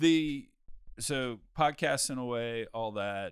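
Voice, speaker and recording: A man is the speaker. The audio is very clean, and nothing can be heard behind him. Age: 50s. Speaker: podcast host. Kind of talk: casual chat. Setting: studio. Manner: laughs often.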